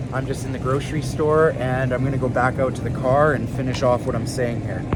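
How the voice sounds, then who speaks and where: A fairly quick man at a medium pitch, noticeable background noise, audible room echo. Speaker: fitness coach. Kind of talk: casual vlog monologue. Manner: conversational, rambling pace.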